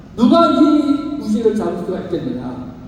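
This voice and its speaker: Over noticeable background noise and audible room echo, a man speaks with very wide pitch swings. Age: 60s. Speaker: pastor. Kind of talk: sermon. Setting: church service with youth audience.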